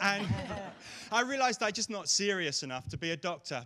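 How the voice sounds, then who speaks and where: A man with an English accent speaks at a fairly quick pace in a high, bright, sharp voice, on a very clean recording with a silent background. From England, East London. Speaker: comedian. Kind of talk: stand-up.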